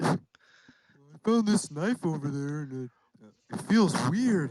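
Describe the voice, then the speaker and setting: Someone uses a put-on character voice at middle pitch and a fairly slow pace. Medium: actual play.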